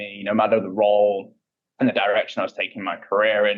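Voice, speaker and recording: Here is a man with a British accent. He talks at a fairly quick pace. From UK. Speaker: payments industry executive. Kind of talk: interview. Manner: frequent filler words and repetitions.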